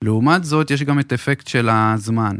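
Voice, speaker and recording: A man speaks at a medium pitch with ordinary pitch variation. It is a normal speaking voice. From Israel, Beersheba. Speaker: mortgage advisor. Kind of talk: podcast interview.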